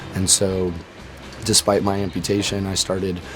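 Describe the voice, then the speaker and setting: With music playing behind him, a man with an American accent speaks in a very deep, low, monotone, flat voice. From Florida, US. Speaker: war veteran, amputee surfer. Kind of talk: interview testimony.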